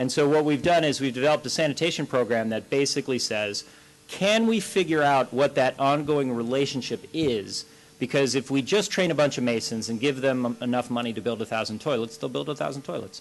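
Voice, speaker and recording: Pitch variation is ordinary as a man talks at a medium pitch. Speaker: panelist, water and sanitation NGO expert. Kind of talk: panel discussion Q&A. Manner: fast; animated.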